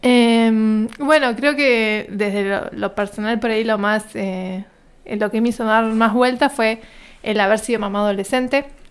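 A woman with a fairly high pitch speaks at a fairly slow pace and with fairly even intonation, captured in a very clean recording over a silent background. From Argentina, Río Negro province. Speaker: scientist and university lecturer. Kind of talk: interview.

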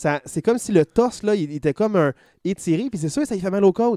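Dark, mellow in tone, a man talks at a very fast pace with lively intonation. The sound is dry and close, without echo. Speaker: podcast host. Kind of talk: casual chat.

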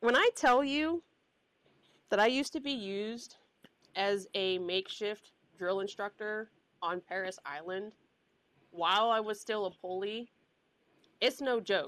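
A woman is speaking. Her pitch shows ordinary variation. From US South. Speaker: podcast co-host, former first responder. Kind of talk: casual chat. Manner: animated.

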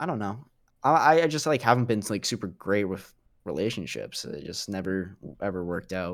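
On a very clean recording with a silent background, a man uses an ordinary speaking voice, fairly low in pitch, at a fairly quick pace. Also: lively intonation. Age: young. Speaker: podcast guest. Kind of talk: casual chat.

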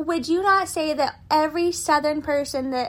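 A woman with an American accent talks at a moderate pace on a very clean recording with a silent background. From Texas, San Antonio suburbs. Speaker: podcast host. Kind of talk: casual chat. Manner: animated.

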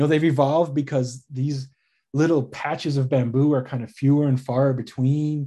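At a moderate pace, a speaker with an American accent delivers a monotone, flat intonation in a dark, mellow tone against a quiet background. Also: man, fairly high pitch for a man. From US Midwest, suburbs of Chicago. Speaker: naturalist and biologist. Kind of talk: casual interview.

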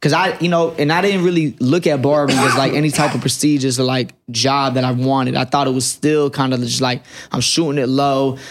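An unremarkable speaking voice with an American accent holds fairly even intonation and very even loudness. There are hardly any pauses. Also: man, fairly high pitch for a man. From Fayetteville, North Carolina. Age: 20s. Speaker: barber turned entrepreneur. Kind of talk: casual chat.

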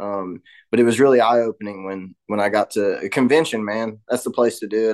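In an East Tennessee accent, a man talks at a fairly quick pace in a fairly low, monotone, flat voice over a quiet background. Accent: East Tennessee Southern American. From US South, Knoxville, Tennessee. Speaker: recovering addict in twelve-step program. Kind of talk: recovery testimony in casual interview.

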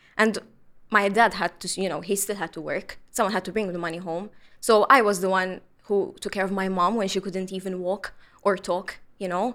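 The woman's intonation is monotone and flat, her pitch medium and her pace moderate. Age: 20s. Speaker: mental health activist. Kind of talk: panel discussion. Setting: studio.

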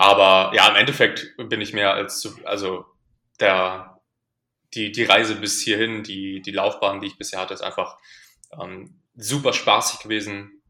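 A man speaks fairly slowly in a fairly low pitch with a bright, sharp tone, his intonation monotone and flat. His loudness swings widely in a very clean recording with a silent background. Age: 20s. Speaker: powerlifting coach. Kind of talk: casual chat. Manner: halting.

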